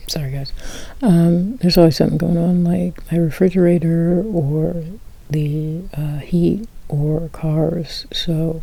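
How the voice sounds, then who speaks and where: Soft-spoken delivery at a very slow pace. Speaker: ASMR creator. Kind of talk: soft-spoken ASMR personal health story.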